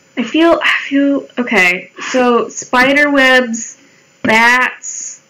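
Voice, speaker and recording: A woman speaks in a high voice with an American accent and ordinary pitch variation. Noticeable background noise runs behind her. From Colorado, US. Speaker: live streamer. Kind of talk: casual chat while drawing on live stream. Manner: animated.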